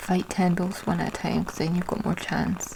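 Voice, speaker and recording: Soft-spoken and at medium pitch, a woman talks in a monotone, flat intonation. Noticeable background noise is present. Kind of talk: soft-spoken ASMR ramble.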